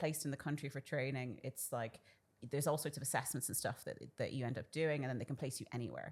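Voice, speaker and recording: Talking at a very fast pace, a woman uses a very deep, low pitch. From Ireland (small town), Sudanese parents. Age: 30s. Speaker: doctor, GP. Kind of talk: casual podcast interview.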